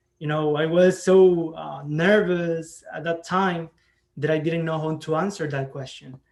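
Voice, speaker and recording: A man with a Salvadoran accent speaks at a fairly slow pace in a fairly high voice, his loudness swinging widely while his intonation stays fairly even. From El Salvador. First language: Spanish. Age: 20s. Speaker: scholarship recipient, community college student. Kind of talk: award speech. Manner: halting.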